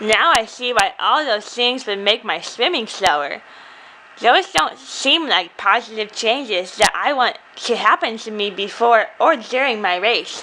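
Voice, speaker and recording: A female-sounding cartoonish character voice, fairly high in pitch, moves at a moderate pace. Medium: puppet. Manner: eager, naive.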